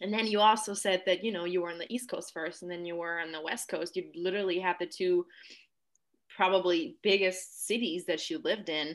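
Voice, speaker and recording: In a very clean recording with a silent background, a woman with a plain, everyday voice of medium pitch talks at a fairly quick pace with ordinary pitch variation. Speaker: podcast host. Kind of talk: casual interview chat.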